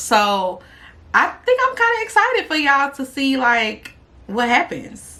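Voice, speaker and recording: A woman's raised, projected voice, high in pitch with very wide pitch swings, at a fairly slow pace. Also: big swings in loudness. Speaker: YouTuber. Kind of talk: casual vlog monologue.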